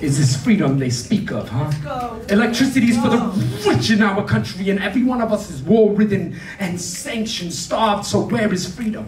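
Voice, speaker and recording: With music in the background and audible room echo, a man speaks at a high pitch with lively intonation and hardly any pauses. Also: moderate pace. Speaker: slam poet. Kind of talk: spoken-word poetry performance. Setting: live venue, arts center. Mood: angry, grieving protest. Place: stage. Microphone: handheld.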